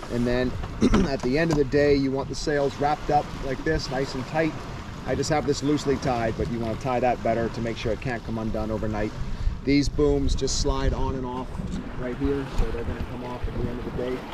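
A man at a fairly quick pace, in a dry sound with no echo and noticeable background noise. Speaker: sailing instructor. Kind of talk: tutorial. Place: beach. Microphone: camera far.

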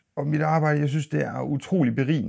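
Very wide swings in pitch run through this man's speech. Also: quiet background. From Denmark, Aarhus. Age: 40s. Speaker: YouTuber and minibus driver. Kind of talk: casual vlog monologue. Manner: halting, many fillers and repeats. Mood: calm, reflective. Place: studio.

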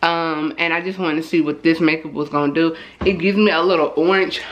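A woman speaks with a low pitch at a moderate pace. Audible room echo surrounds her voice.

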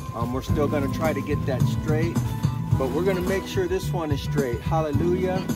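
A man's voice over loud background music, the sound dry with no echo. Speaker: host of religious home video. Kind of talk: casual vlog chat and scripture reading. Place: tent.

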